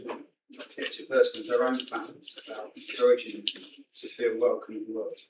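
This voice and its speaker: A man talks with a British accent. Audible room echo surrounds his voice. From UK. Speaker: military veteran, audience member. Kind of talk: audience question. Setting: conference hall with audience.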